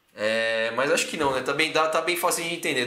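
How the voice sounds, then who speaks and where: Fairly quick speech from a man, ordinary pitch variation, audible room echo around him. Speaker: fitness coach and educator. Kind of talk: live-stream lecture. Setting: live stream on YouTube and Instagram. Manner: casual, conversational.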